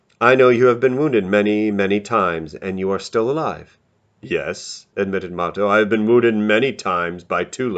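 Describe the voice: Plain reading aloud with ordinary pitch variation in a quiet background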